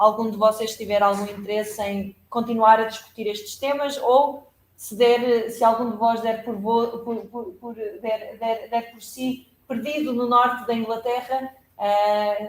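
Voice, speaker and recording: A woman speaks at a fairly slow pace and a fairly high pitch. Her intonation stays monotone and flat, though her loudness swings widely. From Portugal. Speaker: law professor. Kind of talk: academic lecture. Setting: seminar room with hybrid audience. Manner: halting, many fillers.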